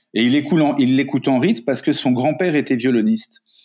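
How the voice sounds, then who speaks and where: This man has a plain, everyday voice, fairly high in pitch, with lively intonation. He talks at a moderate pace against a quiet background. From Africa. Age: 50s. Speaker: coach and writer. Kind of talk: interview.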